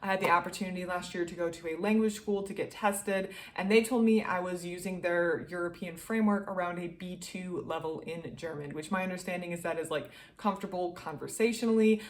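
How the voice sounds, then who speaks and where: A woman talks at a very fast pace with a medium pitch. Audible room echo surrounds her voice. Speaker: book reviewer. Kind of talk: casual book review monologue. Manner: animated.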